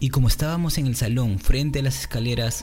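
At a medium pitch with ordinary pitch variation, this man, who has an unremarkable speaking voice, keeps to a moderate pace. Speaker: podcast host and video editor. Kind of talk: casual podcast chat. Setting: virtual call with live audience.

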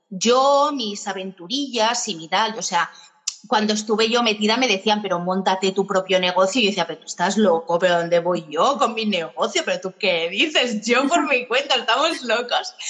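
A woman with a fairly high pitch speaks at a moderate pace, her intonation lively and her loudness swinging widely, while noticeable background noise runs underneath. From Spain. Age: 30s. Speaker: tour guide and entrepreneur. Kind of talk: interview. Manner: energetic, animated.

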